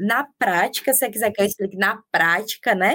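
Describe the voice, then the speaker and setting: A woman's fairly high voice at a moderate pace, with lively intonation and an ordinary speaking voice. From Paraíba, Brazil. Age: 30s. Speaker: social media manager and journalist, mother. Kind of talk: casual interview chat.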